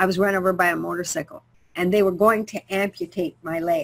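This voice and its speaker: A woman's normal speaking voice, medium in pitch, at a fairly quick pace. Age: 60s. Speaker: health coach. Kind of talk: webinar talk. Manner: casual, conversational.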